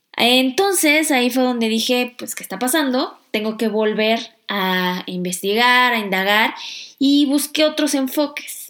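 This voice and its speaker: At a fairly slow pace, a woman talks in a high voice with lively intonation. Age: 30s. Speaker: finance podcast host. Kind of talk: personal monologue.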